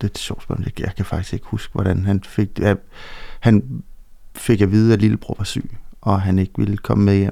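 With a fairly low pitch, a man speaks in a dark, mellow tone. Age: 40s. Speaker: bereaved father. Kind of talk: interview about personal loss. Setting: studio.

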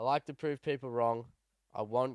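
Someone with an Australian accent keeps fairly even intonation in a dry, close sound with no echo. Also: man. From New South Wales, Australia (Sydney, then Cowra). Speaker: downhill mountain biker and podcast co-host. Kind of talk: casual chat.

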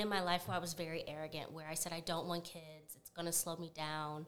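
This is an unremarkable speaking voice with an American accent. It moves at a moderate pace. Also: woman. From Florida, Duval County. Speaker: corporate professional and mother. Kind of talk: casual interview.

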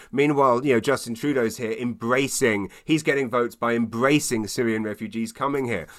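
A man with a London accent at a medium pitch and fairly quick pace, hardly any pauses, ordinary pitch variation, on a very clean recording with a silent background. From London, England. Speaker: stand-up comedian. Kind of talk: casual interview chat. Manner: fast.

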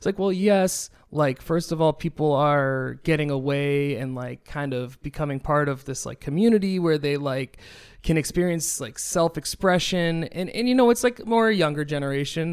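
A man's normal speaking voice, fairly high in pitch, with an American accent, ordinary pitch variation and a fairly quick pace. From New Hampshire, near Boston. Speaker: musician and DJ. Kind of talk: casual chat.

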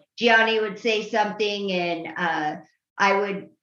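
A woman's bright, sharp voice at a medium pitch and fairly slow pace, in an American accent, with audible room echo. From Utah. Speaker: guest co-host. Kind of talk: interview questions and reading listener questions.

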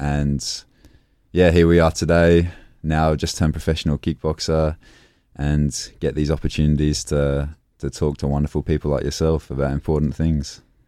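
A man's very deep, low, dark and mellow voice with an Australian accent, monotone, flat intonation, and a moderate pace. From born in England, grew up in Australia. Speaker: professional kickboxer. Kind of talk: casual interview.

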